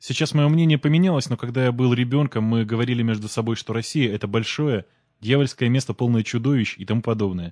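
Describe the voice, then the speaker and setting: Very fast in pace, this man's speech holds a medium pitch that varies in an ordinary way. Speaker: fellow podcaster voicing a translation. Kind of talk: reading aloud.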